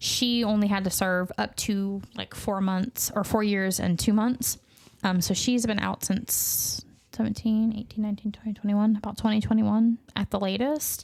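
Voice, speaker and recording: A woman's medium-pitched, somewhat breathy voice in a Southern US accent, monotone and flat in intonation, at a moderate pace. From US South. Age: parent. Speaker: true crime podcast host. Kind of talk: casual chat.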